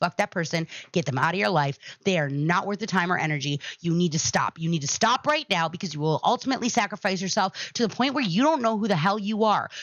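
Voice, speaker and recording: A woman talks loudly at a very fast pace, her tone animated. Her pitch is medium, with very wide swings. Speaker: podcast host. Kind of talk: casual monologue to live chat.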